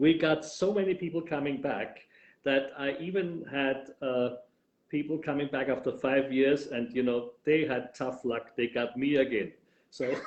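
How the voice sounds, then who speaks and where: A man speaks in a strong Viennese accent at a fairly high pitch. His pace is fairly slow, with ordinary pitch variation. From Austria, Vienna. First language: German. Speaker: tour guide. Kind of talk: interview.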